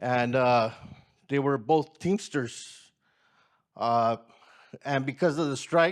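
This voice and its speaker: Captured on a very clean recording with a silent background, a man with an American accent speaks at a fairly slow pace and medium pitch with ordinary pitch variation. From Watsonville, California. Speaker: community organizer. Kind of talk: personal testimony. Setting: community gathering with audience.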